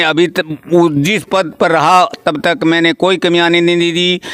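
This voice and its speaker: This man's pitch is high, and his intonation stays fairly even. Noticeable background noise runs under him. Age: 70s. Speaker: village cooperative society chairman. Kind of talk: interview. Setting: at his home.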